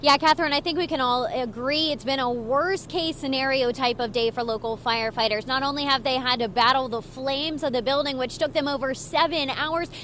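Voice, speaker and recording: A woman's high voice in an American accent, fairly quick in pace, over noticeable background noise. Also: ordinary pitch variation. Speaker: TV news reporter and anchor. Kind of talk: broadcast TV news reporting, live field report. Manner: polished, brisk news delivery.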